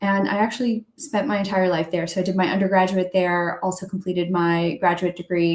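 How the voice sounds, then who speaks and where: Using a normal speaking voice, a woman with an American accent talks at medium pitch and a moderate pace. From US Northeast, outside Boston, Massachusetts. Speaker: entrepreneur, fashion brand founder. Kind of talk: interview on a live stream. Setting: video call live stream.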